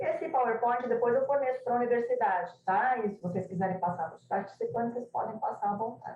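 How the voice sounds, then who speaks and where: The speaker is a woman with a fairly high pitch. Her intonation is lively. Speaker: translation scholar. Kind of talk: academic presentation. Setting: video call. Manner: halting.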